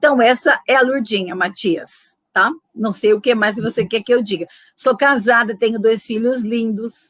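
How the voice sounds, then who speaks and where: In a São Paulo interior accent, a woman talks at a fairly high pitch and a fairly slow pace, with ordinary pitch variation. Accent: caipira accent from interior São Paulo. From interior of São Paulo state, Brazil. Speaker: retired educator, popular education worker. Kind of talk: interview.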